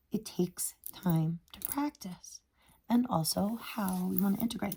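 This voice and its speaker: A woman's somewhat breathy, enthusiastic voice with lively intonation, at a fairly slow pace. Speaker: Ayurveda instructor presenting a workbook. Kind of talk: tutorial. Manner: halting, self-correcting.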